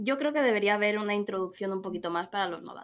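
A woman with a Madrid accent, medium in pitch, with ordinary pitch variation. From Madrid, Spain; Spain. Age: 30s. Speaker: gamer. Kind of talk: casual chat. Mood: frank, slightly annoyed. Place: home room. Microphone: video call.

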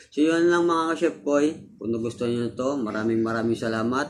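Over noticeable background noise, a man speaks in an animated tone with ordinary pitch variation. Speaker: cooking video creator. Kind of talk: tutorial. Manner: casual, animated.

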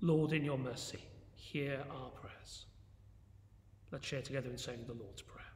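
With an English accent and vocal fry, a man speaks at a fairly slow pace with fairly even intonation and long, frequent pauses, and audible room echo surrounds him. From England. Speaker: church minister. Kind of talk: fervent intercessory prayer, earnest and devout, with solemn petitions. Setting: church, recorded video. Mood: calm, reverent. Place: church. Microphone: phone near.

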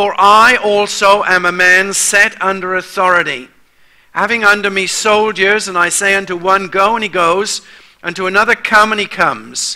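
Over a quiet background, a man speaks in a raised, projected voice. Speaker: preacher. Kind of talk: sermon. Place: church.

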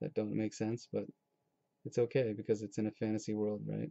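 The recording is dry with no echo and a quiet background. A man speaks in a dark, mellow tone with fairly even intonation. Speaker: artist. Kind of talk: casual talk while drawing. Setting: home webcam recording. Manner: monotone. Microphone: webcam.

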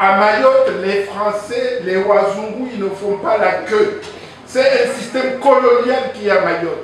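The speech is very slow, with strong room echo and light background noise. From Comoros, Anjouan. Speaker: audience member at public debate. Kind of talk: public debate intervention. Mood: indignant, argumentative. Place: meeting room.

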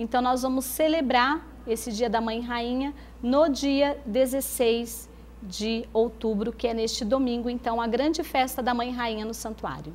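A woman speaks with a high pitch at a fairly slow pace. Her intonation is fairly even, over light background noise. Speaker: interview guest. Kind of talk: interview answer. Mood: calm, warm. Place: studio.

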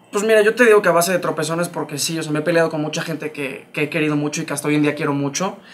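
Talking at a very fast pace with hardly any pauses, a man speaks with a Mexican accent. His pitch is fairly high. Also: ordinary pitch variation. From Mexico. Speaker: stage actor. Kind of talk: casual interview chat. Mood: reflective, personal. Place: studio. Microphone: lapel.

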